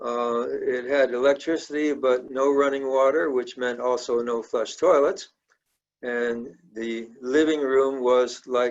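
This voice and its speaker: Speaking very slowly with an American accent, a man keeps a medium pitch and fairly even intonation. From South India (American missionary family, boarding school). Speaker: church member telling life story. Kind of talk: life story talk. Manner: halting, with fillers.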